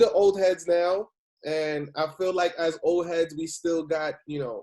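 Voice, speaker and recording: Here a man speaks with a New York accent. His pace is fairly slow. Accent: New York (Bronx) English. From New York City, the Bronx. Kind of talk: casual chat.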